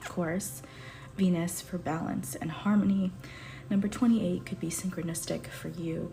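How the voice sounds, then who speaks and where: Audible room echo surrounds a woman speaking at a moderate pace with lively intonation. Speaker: tarot reader. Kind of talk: tarot reading to camera. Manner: soft.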